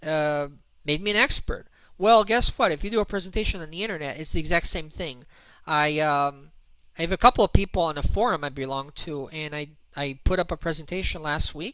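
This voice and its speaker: Speaking fairly quickly with a non-native accent, a man uses a fairly high pitch and ordinary pitch variation. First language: not English. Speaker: internet marketer and author. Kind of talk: online presentation. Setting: video call hangout. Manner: halting, many fillers.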